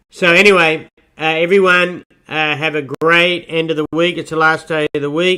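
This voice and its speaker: In an Australian accent, a man with a fairly high pitch and a bright, sharp tone speaks at a moderate pace, the sound dry and close with no echo and a very clean recording with a silent background. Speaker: market podcast host. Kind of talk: market commentary podcast. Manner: casual, hesitant with fillers. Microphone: distorted sound.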